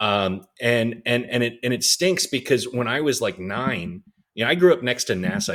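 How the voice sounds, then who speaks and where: At a moderate pace, a man with a medium pitch and an American accent talks with very wide pitch swings. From Texas, Houston (Clear Lake). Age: 30s. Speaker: startup CEO, podcast guest. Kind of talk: casual interview. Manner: hesitant, many fillers and restarts.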